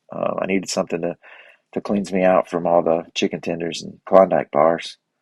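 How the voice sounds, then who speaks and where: This man's voice is very deep and low, with monotone, flat intonation. The sound is dry and close with no echo, against a quiet background. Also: fairly quick pace. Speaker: podcast host. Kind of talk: casual monologue. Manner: fast; halting.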